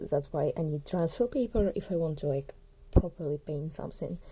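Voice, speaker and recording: A woman speaks with a dark, mellow tone at a fairly low pitch. Her voice is somewhat breathy. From southern Ukraine. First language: Ukrainian. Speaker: artist. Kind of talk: casual sketchbook tour talk. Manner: casual, halting with self-corrections.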